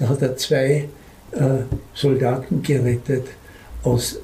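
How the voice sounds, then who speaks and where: At a very slow pace, a man speaks with a dark, mellow tone at a medium pitch, his fairly even intonation touched with vocal fry. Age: old. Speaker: publisher, retired school headmaster. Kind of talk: interview storytelling.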